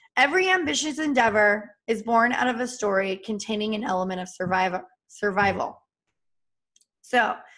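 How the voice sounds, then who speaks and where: A woman speaks with fairly high pitch in an animated tone. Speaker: business trainer. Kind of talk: live training session. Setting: live stream. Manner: fast.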